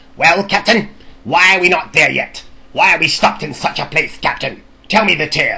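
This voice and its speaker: Someone does a put-on character voice with a pompous tone at a middle pitch. The pace is moderate. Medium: read story. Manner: pompous, arrogant, impatient.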